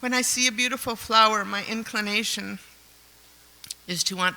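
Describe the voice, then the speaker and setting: Clear noise sits in the background. Through it, a woman talks at a mid-range pitch. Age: 70s. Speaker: devotee reading a homage. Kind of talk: reading aloud. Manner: halting.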